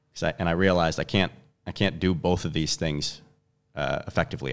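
This man has a very deep, low pitch and a fairly even intonation. He speaks at a very fast pace in a very clean recording with a silent background. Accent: Chicago. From US Midwest, Chicago. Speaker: gym owner and movement coach. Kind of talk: casual interview chat.

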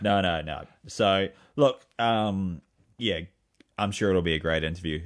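Very deep and low, this man's voice moves at a fairly slow pace with ordinary pitch variation. He speaks with a New Zealand accent. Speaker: running podcast host. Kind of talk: casual chat.

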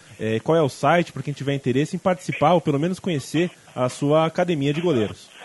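A man speaks at a fairly quick pace in a plain, everyday voice. His pitch is fairly high. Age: 20s. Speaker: podcast host. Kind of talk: interview.

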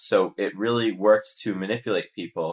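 At a fairly slow pace, a man with an American accent and a plain, everyday voice speaks fairly low, in a very clean recording with a silent background. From United States. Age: 30s. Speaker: investigative journalist. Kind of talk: interview.

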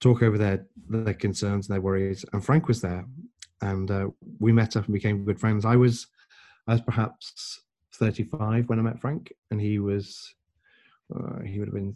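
Against a quiet background, a man with an English accent speaks fairly slowly with long, frequent pauses, a fairly low pitch, a dark, mellow tone and fairly even intonation. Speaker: podcast guest.

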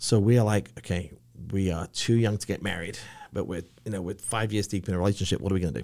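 In a very clean recording with a silent background, a man with an English accent speaks in a dark, mellow tone at a fairly low pitch. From England. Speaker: business owner. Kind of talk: casual chat.

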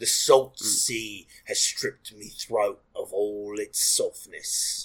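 A man puts on a character voice that is gravelly and hoarse at a medium pitch. He delivers it at a very slow pace. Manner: gruff, in character.

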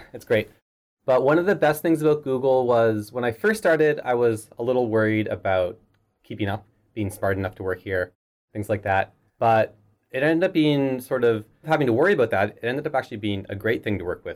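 An ordinary speaking voice from a man at a medium pitch, with lively intonation at a fairly quick pace, on a very clean recording with a silent background. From Canada, Halifax. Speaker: software engineer. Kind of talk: interview. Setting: office.

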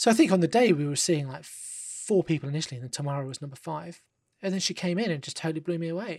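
A London accent in a very clean recording with a silent background. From London, England. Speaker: film director. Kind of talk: podcast interview.

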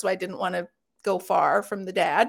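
A woman with an American accent speaks at a medium pitch with vocal fry. The recording is very clean, the background silent. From US West Coast, Los Angeles. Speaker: health coverage advocate. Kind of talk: casual chat. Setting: live stream.

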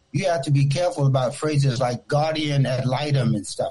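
A man with an American accent speaks fairly quickly in a somewhat breathy, dark, mellow tone with ordinary pitch variation. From Newport News, Virginia. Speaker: radio caller. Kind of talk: call-in comment.

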